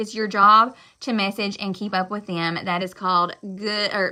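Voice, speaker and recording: The woman's tone is sharp and bright. She talks loudly. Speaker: direct sales consultant. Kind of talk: live stream motivational talk. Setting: live stream.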